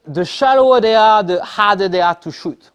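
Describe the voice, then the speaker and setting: Pitched high for a man, this voice carries a French accent and moves at a moderate pace. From France. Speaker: spearfisherman. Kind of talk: club talk. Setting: club meeting.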